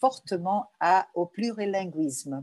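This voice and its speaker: A woman's medium-pitched voice with lively intonation, dry and close with no echo. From Brazil, Rio de Janeiro, Lebanese family. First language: Portuguese (speaking French). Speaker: journalist and cultural association president. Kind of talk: interview. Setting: remote interview from home.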